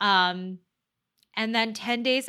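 A woman speaks with a Canadian accent in a bright, sharp tone. Her intonation stays fairly even, and the recording is very clean with a silent background. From Toronto, Canada. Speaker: mental health advocate and podcast host. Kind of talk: interview. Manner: halting.

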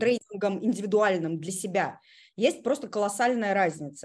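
A woman's normal speaking voice, medium in pitch with lively intonation, against a quiet background. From Russia, Kazan (Tatarstan). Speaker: online school owner, technical specialist trainer.

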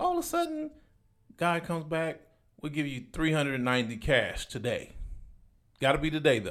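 A man with an American accent at a fairly quick pace, broken by long, frequent pauses. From Compton, California. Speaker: real estate investor. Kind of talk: casual interview chat. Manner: animated storytelling.

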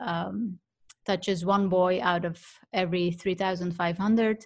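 In a non-native accent, the speaker sounds somewhat breathy, keeps a monotone, flat intonation at a moderate pace, and the recording is very clean with a silent background. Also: woman. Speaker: professional negotiator. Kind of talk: interview.

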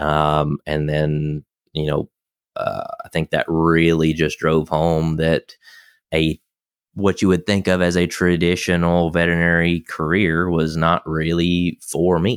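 A man with a Southern US accent speaks at a fairly slow pace in a very deep, low pitch, with monotone, flat intonation and very even loudness. The recording is very clean with a silent background, and the sound is dry and close with no echo. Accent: Southern American. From US South, South Carolina near Augusta. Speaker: veterinarian and animal chiropractor. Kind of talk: interview. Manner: halting, many fillers.

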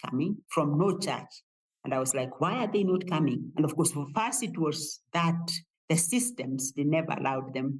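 A woman's very deep, low voice, somewhat breathy, with lively intonation at a moderate pace. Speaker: theology professor. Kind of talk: interview. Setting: office.

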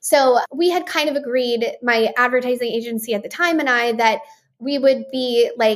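On a very clean recording with a silent background, a woman with an American accent speaks at a moderate pace with ordinary pitch variation. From West Texas, Midland. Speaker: beverage company founder and CEO. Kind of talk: interview.

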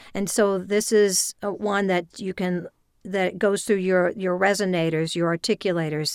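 A woman speaks at a medium pitch in a monotone, flat intonation. The sound is dry and close, with no echo. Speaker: voice actor and voiceover coach. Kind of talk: interview conversation. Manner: fast talker.

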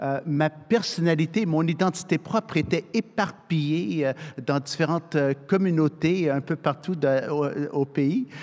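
The man speaks at a very slow pace, his loudness very even throughout. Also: fairly high pitch for a man, ordinary pitch variation. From Canada, military family moving yearly. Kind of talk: panel discussion.

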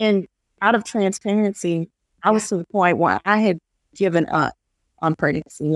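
Speaking at a moderate pace in an ordinary speaking voice, a woman shows ordinary pitch variation in a dry, close sound with no echo. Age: 30s. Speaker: support group founder. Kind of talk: interview.

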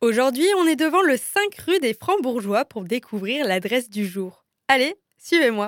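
A woman with a high voice swings her pitch very widely, recorded dry and close with no echo. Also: fairly slow pace. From Strasbourg, Alsace, France. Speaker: podcast host. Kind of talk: scripted narration. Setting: on location in a café. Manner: lively.

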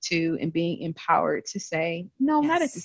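A woman with an American accent has an unremarkable speaking voice, fairly low in pitch, at a moderate pace. The sound is dry and close with no echo. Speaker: regional sales business lead. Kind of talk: casual chat.

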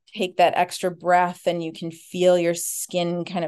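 A woman talks with an American accent. Her pitch sits fairly low. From Minnesota, US. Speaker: violinist. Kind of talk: casual chat.

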